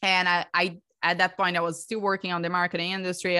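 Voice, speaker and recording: Against a quiet background, a woman with a Brazilian Portuguese accent talks in a fairly low pitch with a bright, sharp tone. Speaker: breathwork coach and theta healer. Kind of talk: podcast interview.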